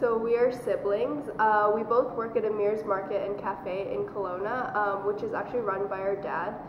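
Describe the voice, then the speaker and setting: Over noticeable background noise and audible room echo, a woman speaks at a moderate pace and fairly high pitch, with fairly even intonation and hardly any pauses. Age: 20s. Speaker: university student. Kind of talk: casual interview.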